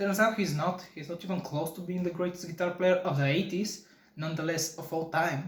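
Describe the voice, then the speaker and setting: A man with a non-native accent speaks at a fairly quick pace in a high pitch. His intonation is monotone and flat, with noticeable background noise behind him. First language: not English. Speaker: guitar podcaster. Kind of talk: casual chat. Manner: halting.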